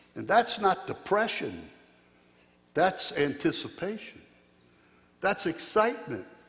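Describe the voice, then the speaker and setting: With noticeable background noise behind him, a man speaks high-pitched at a fairly slow pace, with ordinary pitch variation and long, frequent pauses. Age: 70s. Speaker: pastor. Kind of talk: sermon. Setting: church. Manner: folksy, humorous.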